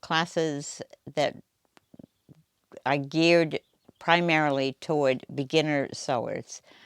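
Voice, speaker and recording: Speaking very slowly with fairly even intonation in a Boston accent, the voice comes through dry and close with no echo, in a very clean recording with a silent background. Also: woman. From US Northeast, Boston area. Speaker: quilt shop owner, retired nurse. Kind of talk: interview monologue.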